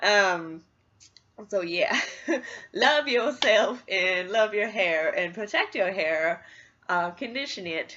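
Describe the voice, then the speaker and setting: A woman's very slow delivery, bright and sharp in tone, with long, frequent pauses. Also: medium pitch for a woman, lively intonation. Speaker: beauty vlogger. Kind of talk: casual tutorial. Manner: animated.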